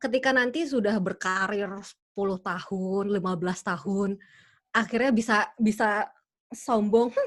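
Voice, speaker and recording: A woman speaks at a fairly slow pace. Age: young. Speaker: interpreter. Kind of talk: webinar Q&A. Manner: halting.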